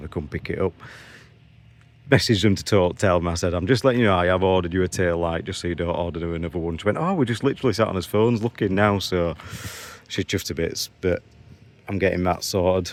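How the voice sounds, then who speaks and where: This man's voice sits very deep and low. He rattles through his words at a very fast pace. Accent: Yorkshire. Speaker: used car dealer. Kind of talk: vlog. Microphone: new phone.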